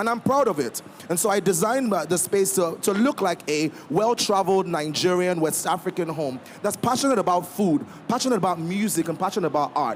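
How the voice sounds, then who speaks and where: A man speaks at a fairly quick pace and high pitch with lively intonation and very even loudness. Noticeable background noise is audible. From Nigeria. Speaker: restaurateur. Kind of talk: panel discussion.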